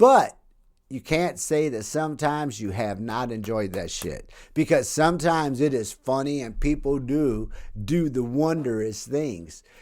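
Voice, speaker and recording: At a moderate pace, a man with an ordinary speaking voice uses lively intonation in a very clean recording with a silent background. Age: 60s. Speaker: author and podcast host. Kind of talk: solo podcast monologue. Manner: casual, profanity-laced delivery.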